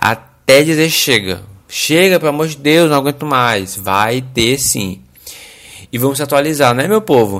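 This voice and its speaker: With a Brazilian accent, a man speaks at a fairly high pitch. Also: lively intonation. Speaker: podcast host. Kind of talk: casual monologue; explanatory talk. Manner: animated.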